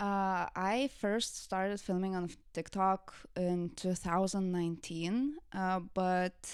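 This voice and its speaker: A woman's medium-pitched voice with a Lithuanian accent at a very slow pace, with fairly even intonation and very even loudness, in a very clean recording with a silent background. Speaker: content creator. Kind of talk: casual interview.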